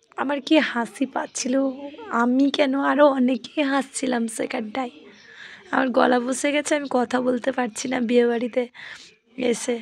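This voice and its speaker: Through noticeable background noise, a woman speaks in a high pitch. Her intonation is monotone and flat. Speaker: vlogger. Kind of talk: casual vlog narration. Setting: at a wedding venue.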